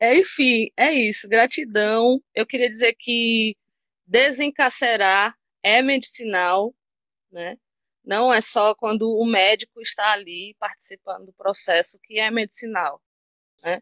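Very slowly, a woman speaks at a fairly high pitch. Her pitch varies in an ordinary way. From Maceió, Alagoas, Brazil. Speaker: cannabis activist. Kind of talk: interview.

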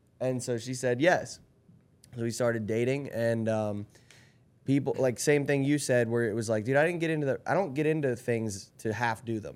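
An ordinary speaking voice, this man talks at a moderate pace with ordinary pitch variation. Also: medium pitch for a man. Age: 30s. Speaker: podcast guest, friend of host. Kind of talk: casual chat.

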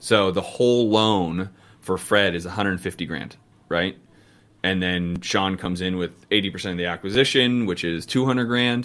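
A man with an American accent and a very deep, low pitch, at a moderate pace with ordinary pitch variation. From US, San Francisco Bay Area. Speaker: real estate investor. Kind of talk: interview. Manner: casual, animated.

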